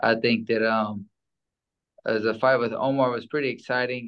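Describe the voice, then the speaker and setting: Here a man speaks at a moderate pace. His intonation stays monotone and flat. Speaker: former boxer and preacher. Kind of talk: casual interview chat.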